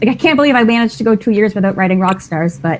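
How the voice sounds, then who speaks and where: A woman speaks in a normal speaking voice. Her pitch is fairly high and her intonation lively. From Canada. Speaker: romance author. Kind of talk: casual chat.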